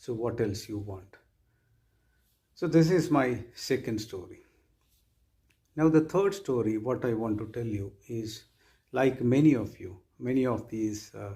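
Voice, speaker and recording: A man speaks at a fairly slow pace, his dark, mellow tone somewhat breathy. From Kerala, South India. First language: Malayalam. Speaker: university vice chancellor. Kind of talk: orientation speech. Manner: formal.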